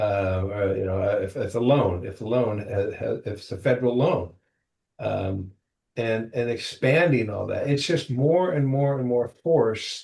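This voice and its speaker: At a moderate pace, a man speaks in a medium pitch with a dark, mellow, somewhat breathy tone. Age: 60s. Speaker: property management veteran. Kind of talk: podcast interview. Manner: animated, with hesitations.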